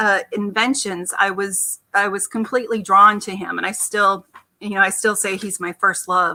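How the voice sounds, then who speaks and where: The speaker has a bright, sharp tone and an American accent, with fairly even intonation at a moderate pace. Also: woman, medium pitch for a woman. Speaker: artist. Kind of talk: interview. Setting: remote video call.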